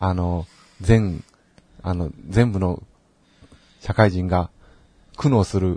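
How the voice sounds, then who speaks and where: A man speaks very slowly, with a very deep, low pitch and long, frequent pauses, in a dry, close sound with no echo. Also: ordinary pitch variation. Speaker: podcast co-host. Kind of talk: casual chat.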